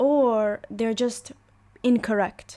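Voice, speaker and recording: Her pitch is fairly high and varies in an ordinary way as the woman speaks with an Arabic accent. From UAE. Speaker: language teacher. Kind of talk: online lesson. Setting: voice chat on a Discord server.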